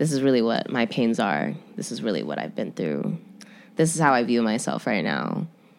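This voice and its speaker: A woman with an American accent, very deep and low-pitched, with vocal fry and very wide pitch swings. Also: moderate pace. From Chicago. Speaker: musician, rapper and model. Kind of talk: casual interview.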